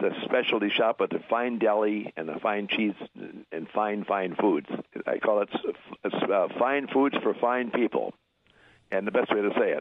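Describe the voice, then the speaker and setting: A man with a Wisconsin accent talks at a moderate pace. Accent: Upper Midwest (Wisconsin). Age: 80s+. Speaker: deli shop owner. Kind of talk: interview. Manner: halting, repeats words.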